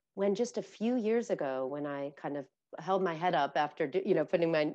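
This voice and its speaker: The background is quiet. A woman speaks in a fairly low voice with ordinary pitch variation. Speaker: interview guest. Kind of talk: interview answer. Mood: earnest, reflective. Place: home room. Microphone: earbuds.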